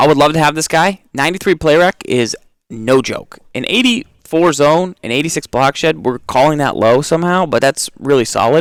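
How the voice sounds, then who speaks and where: In an American accent and an ordinary speaking voice, the speaker goes at a moderate pace with ordinary pitch variation and hardly any pauses, on a very clean recording with a silent background and a dry, close sound with no echo. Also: man, fairly high pitch for a man. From Massachusetts. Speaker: video game podcast co-host. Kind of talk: casual gaming discussion.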